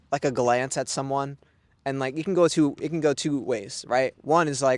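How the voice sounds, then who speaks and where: In a plain, everyday voice, a man with a fairly high pitch and ordinary pitch variation speaks at a moderate pace. The sound is dry and close with no echo, a very clean recording with a silent background. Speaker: podcast host. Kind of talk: casual chat. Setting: outdoors in a park.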